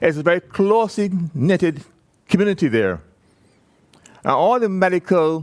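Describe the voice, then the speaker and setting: Speaking in a Barbadian accent, a man sounds animated while keeping a fairly slow pace. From Barbados. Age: 70s. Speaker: person with Parkinson's sharing experience. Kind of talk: conference talk to audience. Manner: conversational, animated.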